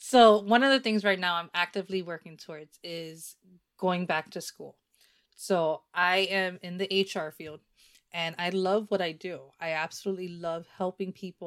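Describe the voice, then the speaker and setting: In a Spanish accent, a woman with a fairly low pitch speaks at a moderate pace with big swings in loudness, on a very clean recording with a silent background. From New Jersey. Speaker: podcast host. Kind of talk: casual chat.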